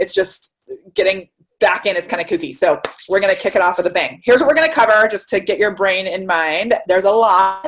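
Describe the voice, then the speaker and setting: A woman talks at a fairly quick pace in a medium pitch, with lively intonation. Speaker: marketing consultant, webinar presenter. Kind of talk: webinar presentation. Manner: fast; animated.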